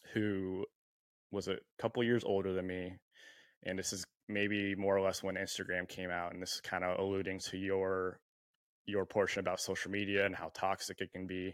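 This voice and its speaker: With an American accent, a man of fairly low pitch talks at a moderate pace, leaving long, frequent pauses. The very clean recording has a silent background and a dry, close sound with no echo. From US West Coast, San Diego. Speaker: podcast host. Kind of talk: casual chat.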